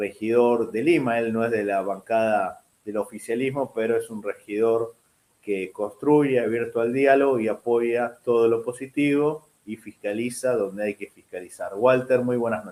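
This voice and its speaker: Here is a man with a normal speaking voice. He talks at a fairly slow pace with fairly even intonation. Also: medium pitch for a man, hardly any pauses. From Argentina. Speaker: journalist. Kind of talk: interview.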